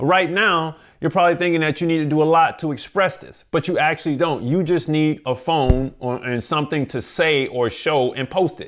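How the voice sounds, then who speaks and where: A man with an American accent speaks in a fairly high pitch, at a moderate pace with hardly any pauses, in a relaxed tone and with ordinary pitch variation. The recording is very clean, with a silent background. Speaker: music business coach and YouTuber. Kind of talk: tutorial-style talk to camera. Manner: relaxed, conversational.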